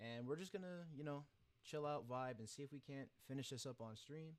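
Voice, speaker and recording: A soft-spoken man with lively intonation. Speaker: gacha animation streamer. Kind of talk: casual livestream chat. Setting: live stream.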